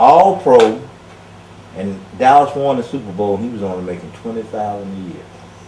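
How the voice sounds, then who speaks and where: Over noticeable background noise and audible room echo, a man with an American accent speaks at a fairly quick pace and fairly low pitch, with lively intonation, big swings in loudness and long, frequent pauses. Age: 60s. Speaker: former college football player. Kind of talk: casual interview.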